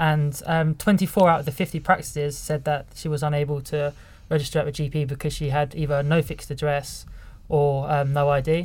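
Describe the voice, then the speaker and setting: A man talks fairly quickly in a somewhat breathy, fairly high voice with monotone, flat intonation. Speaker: community engagement worker. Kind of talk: interview. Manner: halting, many fillers.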